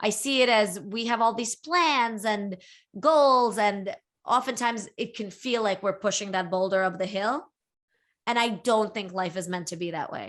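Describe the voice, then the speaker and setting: Speaking at a moderate pace with ordinary pitch variation, a woman with a fairly high pitch is heard on a very clean recording with a silent background. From Brooklyn, New York (emigrated from Latvia at eight). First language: Russian. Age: 40s. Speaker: writer. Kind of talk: interview.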